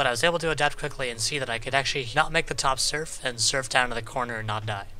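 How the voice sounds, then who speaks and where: Over noticeable background noise, a man talks at a very fast pace. His medium-pitched voice has ordinary pitch variation. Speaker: competitive gamer explaining gameplay. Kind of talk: game tutorial voice-over.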